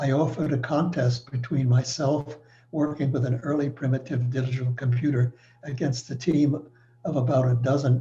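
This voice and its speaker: A man's somewhat breathy, dark and mellow voice in an American accent with monotone, flat intonation. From New York City. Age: 90s. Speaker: retired engineer. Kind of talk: presentation. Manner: formal.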